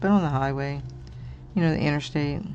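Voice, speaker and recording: Room echo is audible in this clip. The voice belongs to a woman. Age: 60s. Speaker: crafting channel host. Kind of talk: casual livestream chat while coloring. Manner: casual, chatty.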